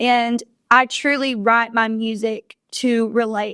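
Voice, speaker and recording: Against a quiet background, a woman with a Southern US accent talks at a fairly high pitch with fairly even intonation. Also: dry, close sound with no echo. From Kentucky. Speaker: country singer. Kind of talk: interview answer. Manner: casual, conversational.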